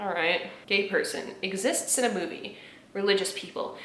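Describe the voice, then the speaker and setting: A woman speaks at a moderate pace in an animated tone. Audible room echo and noticeable background noise surround her. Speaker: YouTuber reacting to memes. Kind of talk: casual commentary. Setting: home recording in apartment.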